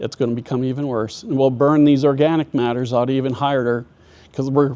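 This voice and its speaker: With an Upper Midwest accent, a man of medium pitch speaks at a moderate pace in a dark, mellow tone with fairly even intonation. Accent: Upper Midwest American. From US Midwest (northwest Minnesota). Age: 60s. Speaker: farmer and agronomist. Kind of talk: presentation.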